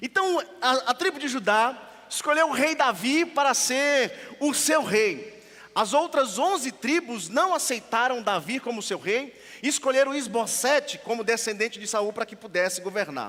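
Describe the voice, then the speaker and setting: At a moderate pace, a man with an extremely high pitch raises and projects his voice, using lively intonation. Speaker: pastor. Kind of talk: sermon.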